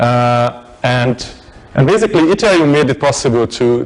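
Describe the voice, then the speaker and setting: A man with a non-native accent against noticeable background noise. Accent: noticeable foreign. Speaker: tech meetup speaker. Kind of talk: technical talk. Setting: meetup with live audience. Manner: halting, many fillers and repetitions.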